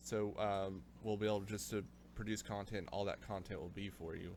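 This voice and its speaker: With an American accent, a man speaks in a plain, everyday voice at a fairly low pitch. His pace is fairly quick, and his pitch variation is ordinary. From United States. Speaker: podcast host. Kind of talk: casual chat.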